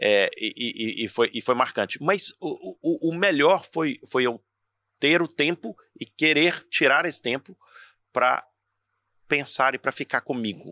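Speaking with a Brazilian accent, a man has a bright, sharp tone, a fairly high pitch and lively intonation, a fairly slow pace with long, frequent pauses, and a dry, close sound with no echo. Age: 40s. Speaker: entrepreneur and motivational speaker. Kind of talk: casual interview chat. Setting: in person at his institute.

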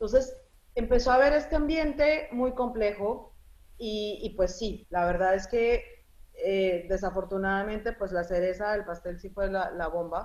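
A woman with a plain, everyday voice speaks at a medium pitch. Her intonation is lively and her pace fairly slow. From Colombia (from age 10), born in Lebanon. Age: 40s. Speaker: journalist. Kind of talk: interview.

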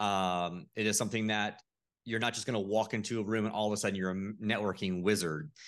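An unremarkable speaking voice with an American accent goes at a fairly quick pace with fairly even intonation. The background is quiet. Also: man. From Florida, St. Petersburg. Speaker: real estate investor. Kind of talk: podcast interview. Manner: casual with frequent fillers.

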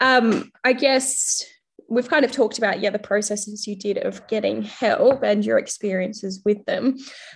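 A woman talks with an Australian accent at a fairly high pitch, with vocal fry. Her intonation stays fairly even at a moderate pace. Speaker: podcast host. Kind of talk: casual interview chat.

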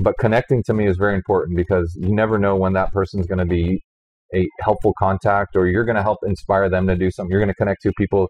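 Talking at a very fast pace, a man with an American accent keeps a fairly low pitch, a monotone, flat intonation and very even loudness. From US South, Houston, Texas. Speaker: business executive and entrepreneur. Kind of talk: interview. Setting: in a wine bar.

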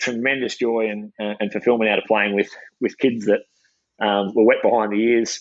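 Speaking in an Australian accent, a man keeps a medium pitch with monotone, flat intonation. He moves at a fairly quick pace. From regional Victoria, Australia (Shepparton). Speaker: former pro footballer and coach. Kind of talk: podcast interview. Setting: outdoors at a football oval, video call.

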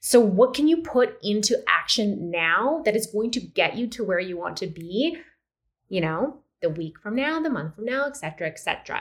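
A fairly high-pitched woman at a moderate pace, her pitch swinging very widely. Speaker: holistic nutritionist and life coach podcast host. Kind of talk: pep talk, motivational speech direct to listener. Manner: warm, animated, encouraging and urgent; direct, emphatic, repeating commands.

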